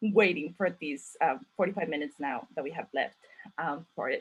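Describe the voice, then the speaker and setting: A somewhat breathy woman's voice at a moderate pace. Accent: Mexican. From Mexico. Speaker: author and event host. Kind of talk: virtual panel conversation. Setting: video call. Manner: halting, many fillers.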